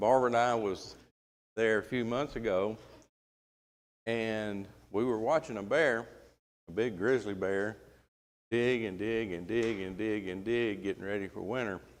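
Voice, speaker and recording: A man with a Southern accent speaks at a fairly low pitch and a moderate pace, with fairly even intonation and long, frequent pauses. Room echo can be heard. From US South. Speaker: Bible class teacher. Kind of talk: Bible class lecture. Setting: church classroom, live stream. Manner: casual, folksy.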